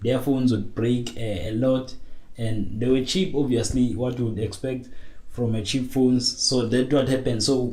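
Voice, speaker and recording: A man at a moderate pace, with fairly even intonation, audible room echo and noticeable background noise. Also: medium pitch for a man. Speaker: tech podcaster. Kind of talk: casual monologue. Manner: hesitant, many fillers.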